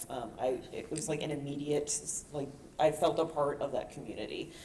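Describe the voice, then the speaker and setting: Pitched very deep and low, a woman speaks at a fairly quick pace amid audible room echo. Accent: American. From New York. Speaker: artist. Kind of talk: panel discussion.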